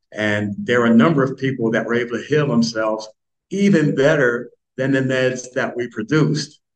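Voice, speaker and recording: In a normal speaking voice, a man holds a medium pitch that varies in an ordinary way and keeps a moderate pace. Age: 60s. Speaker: author and self-help speaker. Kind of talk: interview conversation.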